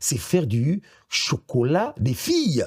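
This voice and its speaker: A man's pitch swings very widely in a very clean, dry, close recording with a silent background and no echo. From Gabon. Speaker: radio director and presenter, voice-over actor. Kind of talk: interview answer.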